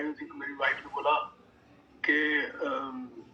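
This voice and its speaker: Noticeable background noise is audible. A man does the talking. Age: 60s. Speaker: health product network marketing leader. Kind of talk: motivational sales session. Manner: animated.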